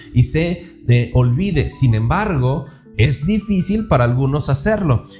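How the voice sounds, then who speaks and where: A man's fairly high voice rises and falls in a lively way as music plays behind him. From Mexico, Durango. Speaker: preacher. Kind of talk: sermon. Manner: halting, many fillers and repetitions.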